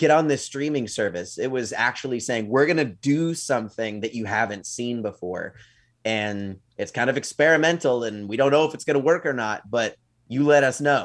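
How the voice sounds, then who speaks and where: A man in a plain, everyday voice, medium in pitch with ordinary pitch variation, at a moderate pace against a quiet background. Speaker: podcast co-host. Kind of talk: casual banter between co-hosts. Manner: easygoing, laughs often.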